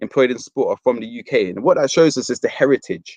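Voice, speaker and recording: Very fast male speech in an English accent, dry and close with no echo, over a quiet background. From London, Fulham. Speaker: university outreach presenter. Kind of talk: careers presentation.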